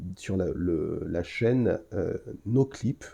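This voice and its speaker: A man is speaking. His voice is somewhat breathy. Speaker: podcast host. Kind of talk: solo podcast review. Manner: hesitant, many filler sounds.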